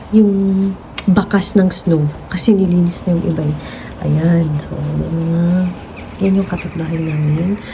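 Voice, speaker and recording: The woman talks while noticeable background noise carries on. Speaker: vlogger. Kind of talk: casual vlog narration. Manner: quiet.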